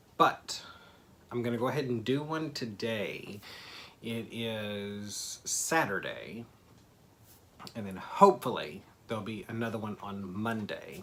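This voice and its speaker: Delivery is at a fairly slow pace, with long, frequent pauses. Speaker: doll hobby vlogger. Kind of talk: casual vlog monologue. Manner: rambling, hesitant.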